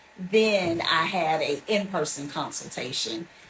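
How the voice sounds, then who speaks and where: A woman speaks at a fairly slow pace in a fairly low pitch, her pitch varying in an ordinary way, with noticeable background noise behind her. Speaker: hair salon client. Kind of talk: testimonial interview.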